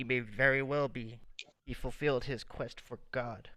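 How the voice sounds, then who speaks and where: A man puts on a robotic character voice at a medium pitch and a moderate pace. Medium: actual play. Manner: robotic, flat, prophetic.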